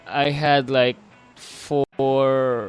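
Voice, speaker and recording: A man speaks with music in the background. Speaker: podcast host. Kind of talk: casual chat. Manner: halting.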